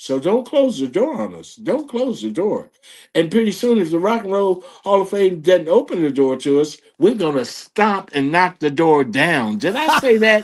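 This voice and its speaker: A man speaks at a moderate pace in a high pitch, his animated tone swinging very widely in pitch. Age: 70s. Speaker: funk band drummer. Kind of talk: interview conversation.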